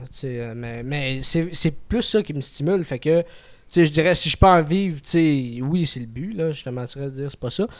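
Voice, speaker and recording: In a very clean recording with a silent background, a man with an unremarkable speaking voice talks at a moderate pace, his fairly high pitch showing ordinary variation. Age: 20s. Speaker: amateur comedian. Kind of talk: casual chat.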